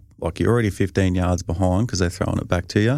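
With a strong Australian accent, this man talks in a very deep, low pitch with ordinary pitch variation, captured on a very clean recording against a silent background. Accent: broad Australian. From rural Victoria, Australia. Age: 30s. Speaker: professional football punter. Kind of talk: casual interview chat.

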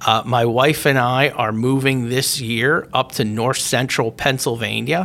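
At a fairly slow pace, a man speaks in a normal speaking voice of medium pitch with fairly even intonation. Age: 50s. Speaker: podcast host and company CEO. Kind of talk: solo podcast monologue. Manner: casual with frequent fillers.

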